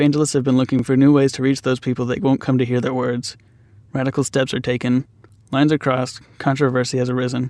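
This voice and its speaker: In a medium-pitched voice with monotone, flat intonation, a man rattles along at a very fast pace. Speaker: student filmmaker, interviewer. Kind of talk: documentary narration and interview questions.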